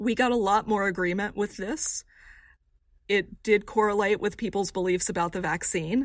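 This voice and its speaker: A woman with an American accent talks at a moderate pace and medium pitch, in a plain, everyday voice. Her intonation is fairly even, and the recording is very clean with a silent background. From rural Texas. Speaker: survey researcher. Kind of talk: interview.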